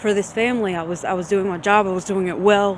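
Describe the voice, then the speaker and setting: A woman with a Louisiana accent at a fairly quick pace. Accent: Southern US (Louisiana). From US South, Shreveport, Louisiana. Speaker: vlogger. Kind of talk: personal testimony video.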